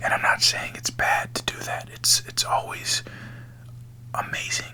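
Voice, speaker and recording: A man whispers at a fairly slow pace. There is noticeable background noise. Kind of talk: ASMR whispered spiritual talk. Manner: whispered, soft, slow.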